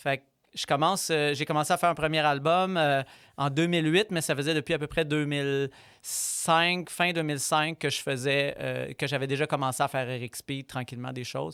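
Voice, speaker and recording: Over a silent background in a very clean recording, a man talks at a fairly quick pace with fairly even intonation. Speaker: violinist. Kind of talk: interview. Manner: fast.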